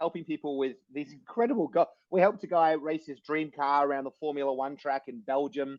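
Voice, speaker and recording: With a Sydney accent, a man talks at a fairly quick pace and a fairly high pitch. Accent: Australian (Sydney northern beaches). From Australia. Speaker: motivational speaker and author. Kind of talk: podcast interview. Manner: halting, many restarts; animated.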